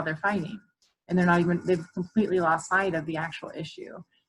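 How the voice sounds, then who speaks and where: A woman with an American accent has an unremarkable speaking voice. Her pitch is fairly low and her intonation fairly even. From Orlando, Florida, US South. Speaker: counselor. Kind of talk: talk to a group of moms.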